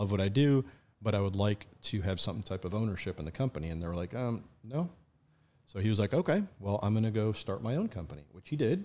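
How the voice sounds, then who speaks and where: On a very clean recording with a silent background, a man with an American accent talks at a very fast pace in a dark, mellow tone. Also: lively intonation. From upstate New York. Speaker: importer and collector. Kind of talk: casual chat.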